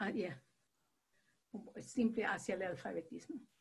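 Speaking very slowly with vocal fry, a woman at a medium pitch swings very widely in pitch. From Latin America. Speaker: teacher and children's book author, participant. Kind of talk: workshop participation. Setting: video call.

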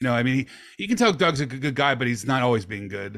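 In a normal speaking voice at medium pitch, a man talks with lively intonation. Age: 50s. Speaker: podcast host. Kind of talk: casual interview.

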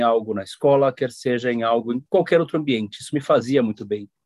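A man talks in an ordinary speaking voice at a medium pitch with ordinary pitch variation. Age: 40s. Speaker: human resources professional. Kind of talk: interview.

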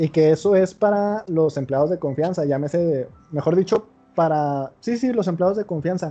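A man with a Mexican accent, high-pitched and dark, mellow in tone, with ordinary pitch variation at a moderate pace. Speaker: podcast host. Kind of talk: casual chat.

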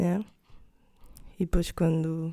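A woman speaking at a fairly slow pace. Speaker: podcast co-host. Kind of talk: casual chat.

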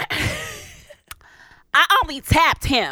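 A female-sounding voice performs a put-on character voice. It sounds raspy. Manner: imitated voice of a specific woman.

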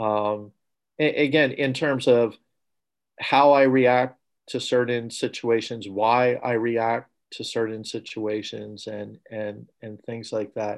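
Over a very clean recording with a silent background, a man speaks at a very slow pace and medium pitch, with fairly even intonation but big swings in loudness. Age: 50s. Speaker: space agency engineer. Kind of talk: casual interview chat. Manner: halting, many fillers and repetitions.

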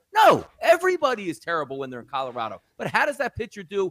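Very wide pitch swings mark this man's bright, sharp voice as he talks at a very fast pace. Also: dry, close sound with no echo. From South Jersey, US. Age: 40s. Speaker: sports betting analyst. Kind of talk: podcast interview.

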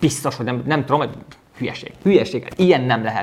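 A man's voice with lively intonation. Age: 30s. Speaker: business coach podcaster. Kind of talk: motivational monologue. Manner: halting.

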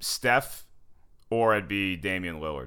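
With an American accent, a man talks in a bright, sharp tone. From US South, North Carolina. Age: 30s. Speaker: comedian. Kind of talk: casual chat.

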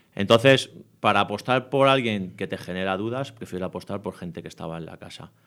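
On a very clean recording with a silent background, a man talks at a fairly quick pace in a plain, everyday voice, fairly low in pitch with ordinary pitch variation. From Spain, Madrid area (Leganés). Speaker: youth football coach. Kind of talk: interview.

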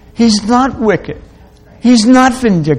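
This man's voice sits at an extremely high pitch, with ordinary pitch variation. Audible room echo surrounds the recording. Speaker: preacher. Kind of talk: sermon.

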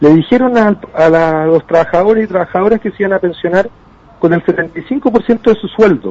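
The speech keeps a moderate pace with ordinary pitch variation. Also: man, high pitch for a man. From Chile. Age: 20s. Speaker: politician. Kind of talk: interview.

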